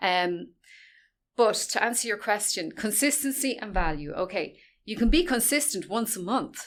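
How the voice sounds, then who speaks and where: On a very clean recording with a silent background, a woman with a fairly high pitch speaks at a moderate pace with very wide pitch swings. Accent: Irish. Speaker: social media expert. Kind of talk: interview. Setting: in-person interview.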